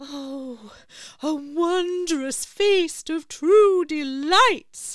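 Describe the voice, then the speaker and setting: Putting on a character voice, a woman talks at a very slow pace in an extremely high pitch. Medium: read story. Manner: polite, slightly grand.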